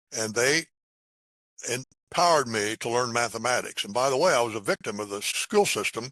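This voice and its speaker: With an American accent, a man speaks fairly quickly at medium pitch in a bright, sharp tone. The sound is dry and close with no echo, over a quiet background. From US Midwest, Indiana. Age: 80s+. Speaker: math educator. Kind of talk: podcast interview.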